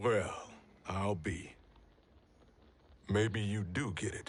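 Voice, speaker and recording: A raspy, put-on character voice at a very slow pace, with fairly even intonation. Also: man, fairly low pitch for a man. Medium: video game. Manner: blunt, gruff.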